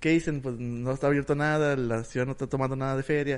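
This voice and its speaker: Very fast speech from a man, medium in pitch and fairly even in intonation. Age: 20s. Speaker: podcast co-host. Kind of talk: casual chat.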